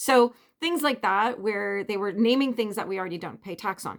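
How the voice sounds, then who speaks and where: Speaking in a Canadian accent, a woman with an unremarkable speaking voice talks fairly quickly at a fairly high pitch with ordinary pitch variation. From Canada. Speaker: vlogger. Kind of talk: casual chat.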